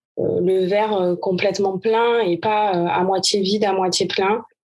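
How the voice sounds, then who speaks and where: With music in the background, a woman speaks in a medium pitch. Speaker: tennis coach. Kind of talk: interview answer. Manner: energetic.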